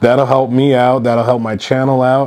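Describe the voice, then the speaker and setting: Against noticeable background noise, a man with a medium pitch speaks in a monotone, flat intonation. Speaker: golf vlogger. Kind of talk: casual vlog monologue. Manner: casual, conversational.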